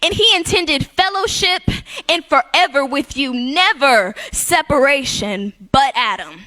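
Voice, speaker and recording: With noticeable background noise, a woman projects her raised voice at a fairly slow pace, her intonation lively. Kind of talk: spoken word poetry performance in a church. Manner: rhythmic, rhyming, preaching delivery.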